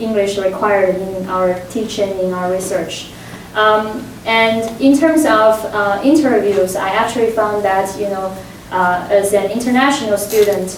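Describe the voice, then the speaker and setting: Amid noticeable background noise and audible room echo, a woman with a non-native accent speaks at medium pitch and a fairly slow pace with fairly even intonation. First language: not English. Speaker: professor. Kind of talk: panel discussion. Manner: hesitant, many fillers.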